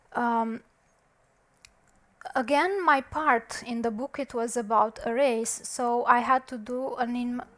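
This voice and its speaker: A woman's high-pitched voice with a non-native accent and fairly even intonation. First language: not English. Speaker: conference speaker, software developer. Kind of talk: conference talk. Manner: halting, with fillers.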